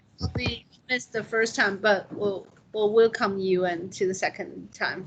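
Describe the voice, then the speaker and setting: Noticeable background noise sits behind a woman at medium pitch. She keeps a moderate pace and fairly even intonation. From Taiwan. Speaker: university instructor. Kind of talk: class discussion. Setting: classroom with remote students on video call.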